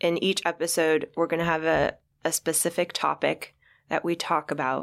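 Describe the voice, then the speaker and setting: A woman's ordinary speaking voice in a General American accent, fairly low in pitch, at a moderate pace, in a very clean recording with a silent background. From Kansas. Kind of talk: casual chat.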